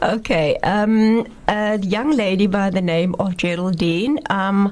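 A woman speaks with ordinary pitch variation at a medium pitch, and noticeable background noise is audible. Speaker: researcher and playwright. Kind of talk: radio interview.

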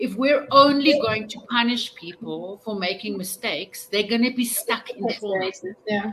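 Woman's fairly high voice at a moderate pace, ordinary pitch variation, amid noticeable background noise. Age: 40s. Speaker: contributing author. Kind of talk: panel discussion. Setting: video call.

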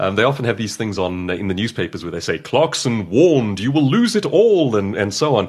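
Vocal fry runs through a man's voice as he speaks at a fairly quick pace with very wide pitch swings. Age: 30s. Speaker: professional speaker and author. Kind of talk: interview conversation. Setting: at his home.

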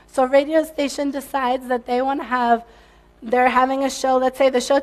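Her high pitch stays monotone and flat as this woman speaks. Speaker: tech company CEO. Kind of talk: conference talk.

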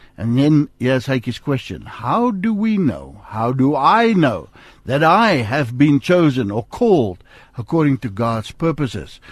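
Speaking at a fairly slow pace with an Afrikaans South African accent, a man uses a fairly high pitch and very wide pitch swings. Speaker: radio host. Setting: studio. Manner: warm, upbeat.

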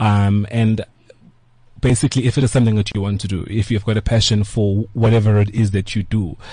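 A man speaks in a dark, mellow, somewhat breathy tone with fairly even intonation. The background is quiet. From South Africa, KwaZulu-Natal (Pietermaritzburg). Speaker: hotel group co-owner. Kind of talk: interview. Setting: studio.

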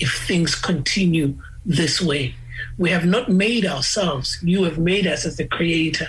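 A man speaks fairly slowly at a high pitch, keeping his loudness very even while his pitch varies in an ordinary way. Room echo is audible, along with noticeable background noise. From South Africa, Eastern Cape (Gqeberha). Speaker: musician. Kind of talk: interview. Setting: video call.

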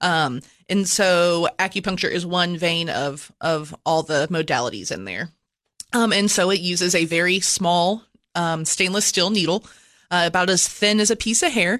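A woman talks in an ordinary speaking voice at a fairly low pitch and a moderate pace, with ordinary pitch variation. The background is quiet. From US, moved around as Army child. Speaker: acupuncturist and business owner. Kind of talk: casual interview.

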